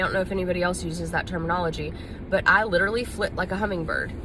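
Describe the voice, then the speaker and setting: The speaker has a Southern US accent and ordinary pitch variation. The room echo is audible, with noticeable background noise. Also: woman. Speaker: nurse and video blogger. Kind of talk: casual vlog monologue. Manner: fast.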